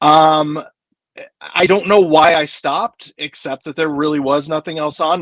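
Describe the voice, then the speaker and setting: A man talks in a plain, everyday voice, fairly high in pitch, at a moderate pace. The sound is dry and close, with no echo. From Kansas (Wichita). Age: 40s. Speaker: film author. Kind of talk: casual chat.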